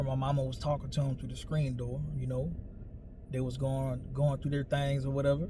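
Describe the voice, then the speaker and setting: A man with an American accent talks at a medium pitch, his dark, mellow tone somewhat breathy, with audible room echo. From New Orleans, Louisiana (US South). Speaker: storyteller / vlogger. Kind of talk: personal storytelling monologue. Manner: casual, conversational.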